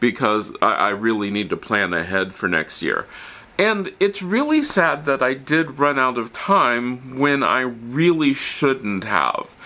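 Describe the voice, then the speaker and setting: Very wide pitch swings at a fairly slow pace. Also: man. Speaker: lifestyle vlogger. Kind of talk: casual vlog chat. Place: home room.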